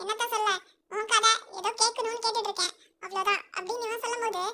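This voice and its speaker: In a put-on character voice at an extremely high pitch, the delivery stays monotone and flat at a moderate pace. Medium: read story.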